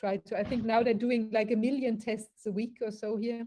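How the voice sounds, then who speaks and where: A woman with a German accent and a dark, mellow tone speaks at a moderate pace. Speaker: interviewer. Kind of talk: interview.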